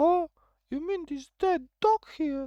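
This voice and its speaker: A squeaky, high-pitched put-on character voice. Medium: game stream. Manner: earnest.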